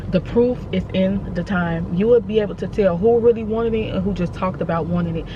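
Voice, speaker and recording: Over noticeable background noise, a woman with a fairly low pitch talks at a very fast pace in an animated tone. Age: 20s. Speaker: vlogger. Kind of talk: casual monologue vlog. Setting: in a car.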